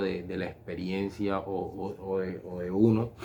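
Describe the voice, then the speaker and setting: His pitch sits fairly low. The man talks at a very slow pace. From Colombian Caribbean coast (Barranquilla). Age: 40s. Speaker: philosophy and religious education student. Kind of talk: personal reflection monologue. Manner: halting, many fillers and repetitions.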